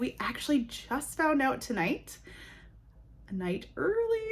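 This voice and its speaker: At a fairly slow pace, a woman with an American accent speaks with lively intonation. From Wisconsin, US Upper Midwest. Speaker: book vlogger. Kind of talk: casual vlog book review. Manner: casual, filler-heavy.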